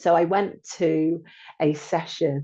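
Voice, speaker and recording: A woman's voice has a dark, mellow tone. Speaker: podcast host and meditation instructor. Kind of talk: personal story monologue. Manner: animated; expressive.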